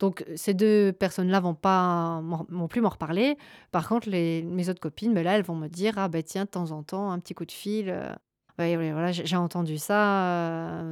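Recorded very cleanly with a silent background and a dry, close sound with no echo, a woman talks at a fairly slow pace with fairly even intonation. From southwest France (Charente-Maritime, Gers). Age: 30s. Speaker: sex worker. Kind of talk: personal testimony interview. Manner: halting, many fillers.

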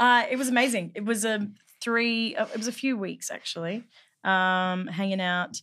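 A woman in a Northern Territory accent, fairly high in pitch with ordinary variation and a bright, sharp tone, on a very clean recording with a silent background. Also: moderate pace. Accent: Australian, Northern Territory. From Northern Territory, Australia. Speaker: actor. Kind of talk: casual chat. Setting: studio.

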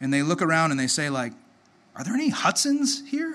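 Amid audible room echo, a man speaks in a high pitch with a bright, sharp tone. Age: 30s. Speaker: pastor. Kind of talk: sermon. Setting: church. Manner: halting.

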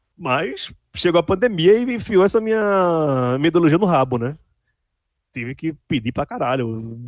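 A man's fairly high voice at a moderate pace, with very wide pitch swings, in a very clean recording with a silent background. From Pernambuco, Brazil (Candeias/Recife area). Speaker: journalist and writer. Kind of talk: casual interview.

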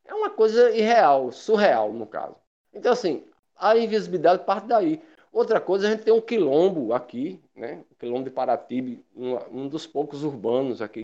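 This man's voice has a dark, mellow tone and a high pitch. He moves at a moderate pace through very wide pitch swings. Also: big swings in loudness. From Paraíba, Brazil (Guarabira). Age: 50s. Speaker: patient association coordinator, educator. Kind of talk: casual panel discussion.

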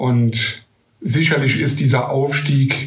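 Delivered in monotone, flat intonation, the speech carries audible room echo. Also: man. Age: 40s. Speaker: football fan club board member. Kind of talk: interview.

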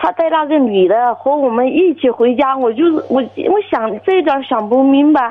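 Over noticeable background noise, a woman speaks at a high pitch with lively intonation and a moderate pace. Her loudness stays very even, and there are hardly any pauses. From Guizhou, China. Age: 30s. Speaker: caller. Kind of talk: phone-in advice call. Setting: phone call.

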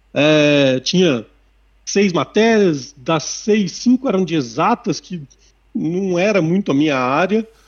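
A man with a high pitch talks at a very slow pace, his intonation lively. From Sorocaba, São Paulo state, Brazil. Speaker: operations manager. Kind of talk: interview.

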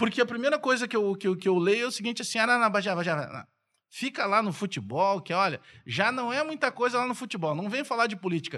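The voice is raised and projected, with a bright, sharp tone, lively intonation and a fairly quick pace. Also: man, high pitch for a man. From southern Brazil (Rio Grande do Sul, Bagé). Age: 40s. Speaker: sports journalist and radio commentator. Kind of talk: casual chat.

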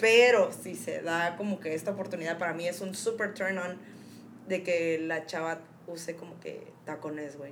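A woman with a Mexican accent talks at a moderate pace and fairly low pitch, with fairly even intonation. Her loudness swings widely, and audible room echo surrounds the voice. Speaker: podcast co-host. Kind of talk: casual chat.

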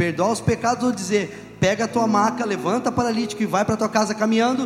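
A man rattles off his words very fast while noticeable background noise carries on. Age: 40s. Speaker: pastor. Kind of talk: sermon.

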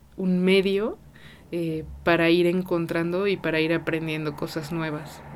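The speech comes very slowly in a Mexican accent. Intonation stays monotone and flat. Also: woman. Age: 30s. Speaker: podcast host. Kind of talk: casual monologue. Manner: many filler words.

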